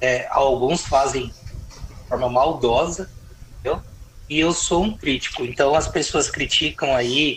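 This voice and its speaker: Over noticeable background noise, a man speaks at a very slow pace. His pitch is fairly high, with ordinary pitch variation. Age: 40s. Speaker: lawyer and politician. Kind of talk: casual interview about politics.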